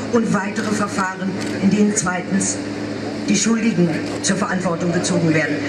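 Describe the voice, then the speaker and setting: A woman's voice against loud background noise. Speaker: speaker. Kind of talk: reading a public statement. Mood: solemn, determined. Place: street.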